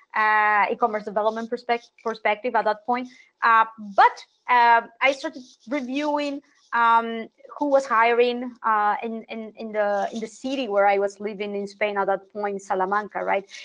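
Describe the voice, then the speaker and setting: Speaking with a Spanish accent, a woman keeps a moderate pace and fairly even intonation. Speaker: international SEO consultant. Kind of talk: interview. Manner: frequent word repetitions.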